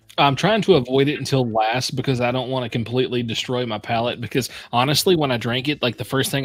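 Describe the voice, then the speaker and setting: An unremarkable speaking voice from a man with an American accent, medium in pitch, with ordinary pitch variation and a fairly quick pace. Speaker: whiskey reviewer, stream host. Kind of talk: casual chat. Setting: live stream.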